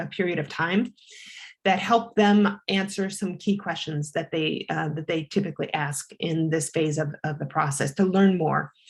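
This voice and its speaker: Speaking with a somewhat breathy quality, a woman shows ordinary pitch variation. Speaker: marketing consultant presenting. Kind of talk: webinar presentation. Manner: fast.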